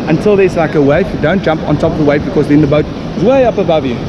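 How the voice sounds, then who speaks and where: A man talks at a very fast pace with ordinary pitch variation. Loud background noise runs beneath him. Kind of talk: casual vlog explanation. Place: beach. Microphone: phone near.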